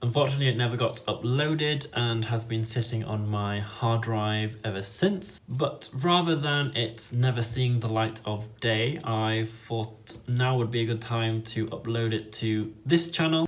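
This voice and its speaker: A man speaks at medium pitch and a fairly slow pace. His voice is somewhat breathy, with ordinary pitch variation. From northern England, Leeds, Yorkshire. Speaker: YouTuber and fan site editor. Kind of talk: vlog intro.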